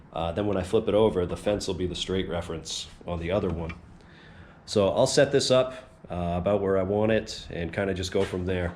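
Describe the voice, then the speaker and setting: A man speaks in a very deep, low voice with ordinary pitch variation. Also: fairly quick pace. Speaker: woodworking YouTuber. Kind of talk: tutorial. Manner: casual with many fillers.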